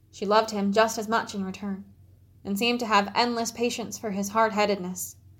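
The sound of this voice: The reading voice sounds unforced. Intonation is fairly even throughout.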